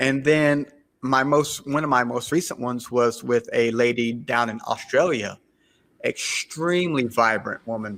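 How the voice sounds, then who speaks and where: Speaking in a Southern US accent, the voice moves at a fairly slow pace with ordinary pitch variation. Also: man. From US South, South Carolina. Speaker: podcaster. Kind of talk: podcast interview. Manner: halting.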